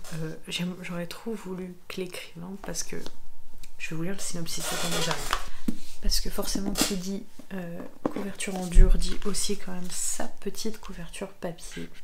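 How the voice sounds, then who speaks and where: A soft-spoken woman with a calm tone and monotone, flat intonation talks at a moderate pace, with long, frequent pauses, big swings in loudness and noticeable background noise. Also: medium pitch for a woman. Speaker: ASMR creator and book reviewer. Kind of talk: casual talk to camera, book review. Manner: soft-spoken, calm.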